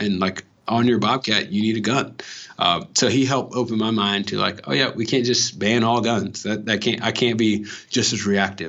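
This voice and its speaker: A man with an ordinary speaking voice and an American accent talks at a moderate pace, fairly low in pitch, with ordinary pitch variation. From Los Angeles (Watts). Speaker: educator. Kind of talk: interview.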